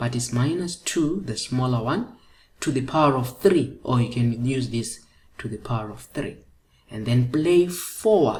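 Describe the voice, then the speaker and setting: A woman's very deep, low voice, somewhat breathy, at a fairly slow pace, with lively intonation and big swings in loudness. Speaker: maths teacher. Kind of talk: tutorial.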